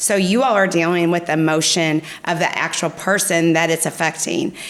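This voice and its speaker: Noticeable background noise sits behind a woman's fairly low voice. Her intonation stays fairly even. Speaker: mortgage account executive. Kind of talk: podcast interview. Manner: fast.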